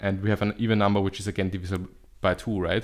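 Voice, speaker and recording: A man speaks with a fairly low pitch and monotone, flat intonation. The background is quiet. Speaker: math video host. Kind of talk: lecture. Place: home room. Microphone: studio mic.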